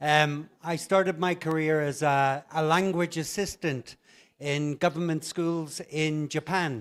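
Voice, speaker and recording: A man's fairly high pitch with an Irish accent, a fairly slow pace and fairly even intonation, on a very clean recording with a silent background. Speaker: conference plenary speaker, English teaching director. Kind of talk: conference keynote talk. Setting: stage with audience.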